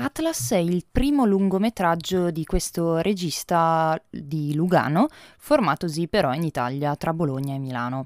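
A woman with a plain, everyday voice speaks at a fairly low pitch and a fairly slow pace, her intonation lively. The recording is very clean with a silent background and a dry, close sound with no echo. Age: 20s. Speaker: film critic. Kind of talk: podcast film review monologue.

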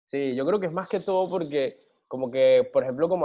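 Here a man speaks in a normal speaking voice at a moderate pace. His pitch varies in an ordinary way. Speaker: singer. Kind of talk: casual interview.

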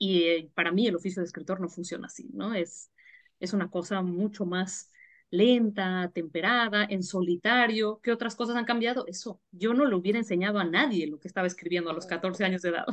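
Over a quiet background, a woman talks at a fairly quick pace in a plain, everyday voice at medium pitch with ordinary pitch variation. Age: 40s. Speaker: writer and editorial advisor. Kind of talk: interview.

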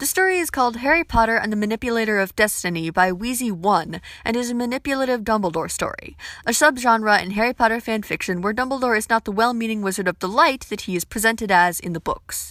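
In a very clean recording with a silent background, a woman speaks at a very fast pace with lively intonation. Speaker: book and fanfiction reviewer. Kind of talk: review monologue.

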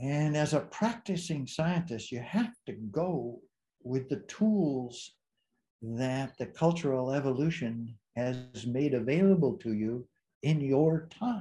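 A man's fairly high, somewhat breathy voice in a dark, mellow tone, very slow, on a very clean recording with a silent background. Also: lively intonation. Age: 80s+. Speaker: emeritus psychology professor. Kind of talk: long-form interview. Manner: hesitant, many fillers.

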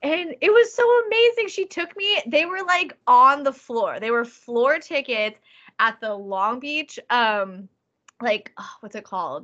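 In a Californian accent, a woman talks at a fairly slow pace with a high, bright, sharp voice. Her pitch swings very widely, and her loudness swings a lot too. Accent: Californian American English. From Southern California. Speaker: ska band lead singer. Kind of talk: casual interview chat. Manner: animated.

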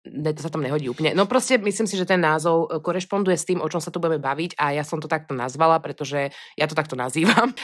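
A woman's very deep, low voice in a western Slovak accent, very fast, with ordinary pitch variation, on a very clean recording with a silent background. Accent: hard-sounding western Slovak speech. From western Slovakia, Pezinok. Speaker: podcast co-host. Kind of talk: casual chat. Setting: recording together in person.

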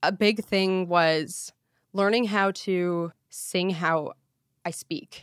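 A woman with a Canadian accent speaks at a very slow pace, with a medium pitch and ordinary pitch variation. The recording is very clean, the background silent. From northern Ontario, Canada. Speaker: hard rock singer. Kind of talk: casual chat. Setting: host's condo.

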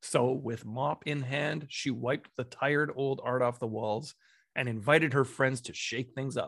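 A man with a Canadian accent and an ordinary speaking voice, medium pitch, fairly even intonation and a moderate pace, in a very clean recording with a silent background. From Alberta, Canada. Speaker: podcast host. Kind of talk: casual interview chat.

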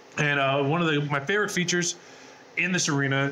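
With an American accent, a man talks at a fairly quick pace in a fairly high pitch with ordinary pitch variation, amid audible room echo and noticeable background noise. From Southern California, US. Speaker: university esports program staff. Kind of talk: guided tour; interview. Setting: esports arena.

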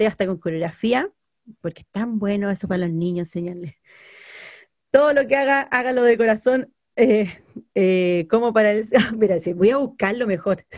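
A woman speaks in an ordinary speaking voice at a moderate pace, her fairly high pitch moving with lively intonation. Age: 30s. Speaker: podcast co-host. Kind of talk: casual chat.

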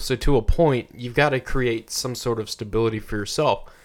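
An ordinary speaking voice with an American accent at a fairly quick pace. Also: man. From Texas. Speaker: podcast co-host. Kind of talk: casual chat. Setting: studio.

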